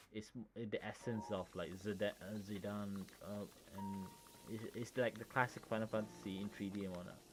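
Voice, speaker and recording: A man talks at a moderate pace in a fairly low pitch. His intonation is flat and monotone. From Malaysia. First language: Malay. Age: 30s. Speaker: gaming streamer. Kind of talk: casual chat. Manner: halting, many fillers.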